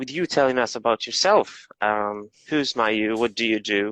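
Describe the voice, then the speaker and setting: A man with a Moroccan accent talks at medium pitch and a fairly slow pace, in a dry, close sound with no echo over a quiet background. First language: Arabic. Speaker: English teacher and live stream host. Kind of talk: interview on a live stream.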